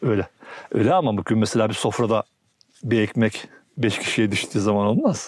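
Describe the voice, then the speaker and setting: A man talks at a moderate pace and a medium pitch with ordinary pitch variation. He leaves long, frequent pauses. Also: very even loudness. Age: 60s. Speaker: farmer. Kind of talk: casual interview.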